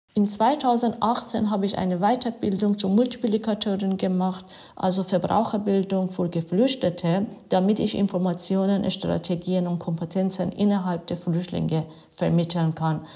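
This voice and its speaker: A woman's medium-pitched, somewhat breathy voice with a dark, mellow tone, an Iranian accent, fairly even intonation and a moderate pace. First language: Farsi (speaking German). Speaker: city councillor and volunteer. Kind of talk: prepared statement.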